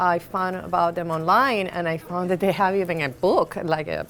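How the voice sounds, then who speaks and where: A woman with a Spanish accent talks at medium pitch and a fairly quick pace, with fairly even intonation and music in the background. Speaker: skatepark advocate and mother. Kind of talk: documentary interview. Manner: halting.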